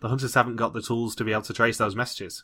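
A man with a British accent speaks at medium pitch in a bright, sharp tone, his intonation fairly even. The recording is very clean, with a silent background. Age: 20s. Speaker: podcast host. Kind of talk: casual chat.

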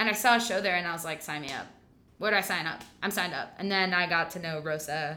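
A woman with a bright, sharp tone and fairly low pitch talks at a fairly quick pace, using vocal fry and fairly even intonation. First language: not English. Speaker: stage actor. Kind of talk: casual interview.

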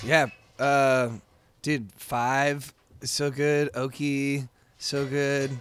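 In a monotone, flat intonation, a man talks at a very slow pace broken by long, frequent pauses. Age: 30s. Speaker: musician and bar owner. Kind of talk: casual chat. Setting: recorded in a bar.

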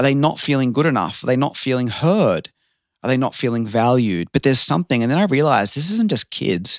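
Talking at a very fast pace, a man with an Australian accent uses a medium pitch and very wide pitch swings. The recording is very clean, with a silent background and a dry, close sound with no echo. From Australia, Sydney. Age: 30s. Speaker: transformational coach. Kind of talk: casual chat.

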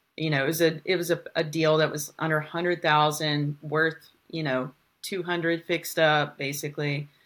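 A woman speaks with an American accent in a very deep, low voice. Her intonation stays monotone and flat. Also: moderate pace. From Arkansas, US South. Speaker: real estate investor. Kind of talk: interview.

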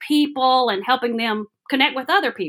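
A woman with a Southern US accent has a high pitch, a bright, sharp tone and lively intonation. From Alabama, US South. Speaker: workshop facilitator. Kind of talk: casual interview.

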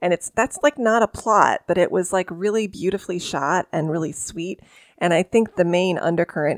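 A woman speaks in a normal speaking voice at a fairly low pitch and a moderate pace. Her pitch varies in an ordinary way, and the sound is dry and close with no echo. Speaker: podcast host and author. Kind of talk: casual chat about pop culture.

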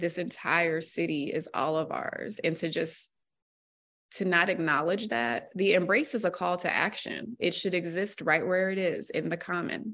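This is an ordinary speaking voice with an American accent, moving at a moderate pace with ordinary pitch variation. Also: woman. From US Mid-Atlantic (Virginia, DC area). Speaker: newspaper columnist. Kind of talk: casual interview.

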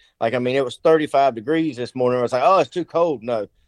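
Ordinary pitch variation and a fairly quick pace come through in a dry, close sound with no echo. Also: man. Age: 40s. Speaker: turkey hunting guide. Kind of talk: casual interview. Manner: halting.

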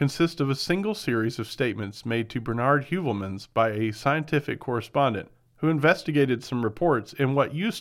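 Reading done in an unforced voice

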